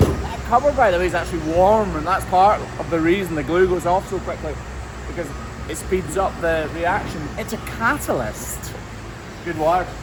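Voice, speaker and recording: With a Scottish accent, a man speaks at a moderate pace amid noticeable background noise and audible room echo. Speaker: hoof trimmer. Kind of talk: casual work commentary.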